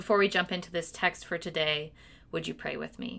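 In a very clean recording with a silent background, a woman with an American accent speaks in a fairly low, bright, sharp voice with fairly even intonation. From US Pacific Northwest (Washington). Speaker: pastor. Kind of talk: sermon.

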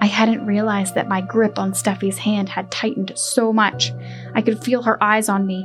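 The intonation is fairly even. What we hear is plain reading aloud.

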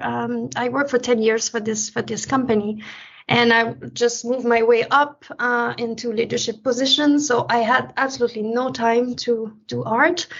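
Speaking at a moderate pace with a Quebec accent, a woman uses a high pitch and fairly even intonation. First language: French. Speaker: painter. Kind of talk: interview.

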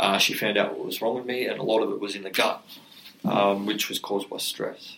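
An Australian accent with noticeable background noise. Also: man, fairly quick pace. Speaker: mental health charity co-founder, former rugby league player. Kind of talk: podcast interview.

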